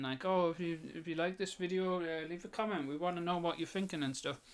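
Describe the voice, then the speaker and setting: A man with a strong northeast English accent talks at a fairly quick pace, his relaxed tone carried by fairly even intonation. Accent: strong northeast England. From northeast England. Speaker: artist and YouTuber. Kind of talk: casual monologue. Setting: home, voice recorder. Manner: rambling, hesitant with fillers.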